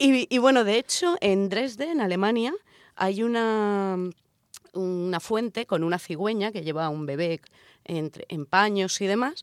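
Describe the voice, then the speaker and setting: Dry and close with no echo, the recording captures a woman at medium pitch. She speaks at a fairly slow pace with lively intonation. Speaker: radio show co-host. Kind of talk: casual chat with scripted segments. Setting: radio studio. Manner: exaggerated sensual voice in intro.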